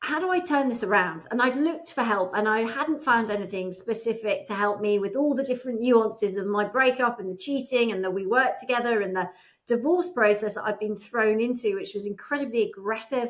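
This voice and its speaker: A woman talks at a fairly quick pace with lively intonation and hardly any pauses. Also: fairly high pitch for a woman. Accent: British. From England. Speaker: divorce coach. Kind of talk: interview.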